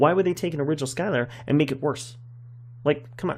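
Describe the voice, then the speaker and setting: A man's very fast, somewhat breathy voice, fairly high in pitch. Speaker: gaming youtuber. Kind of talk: casual chat.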